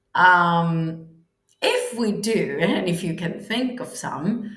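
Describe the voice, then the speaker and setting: A woman speaks with a Spanish accent at a medium pitch. Her pitch varies in an ordinary way, and room echo is audible. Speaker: English teacher. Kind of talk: online language lesson.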